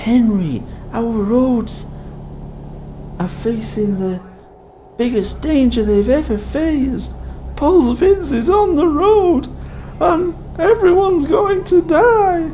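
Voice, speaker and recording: Doing a put-on character voice at an extremely high pitch, a man makes very wide pitch swings at a fairly slow pace with long, frequent pauses, and clear background noise is present. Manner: grave, dramatic warning.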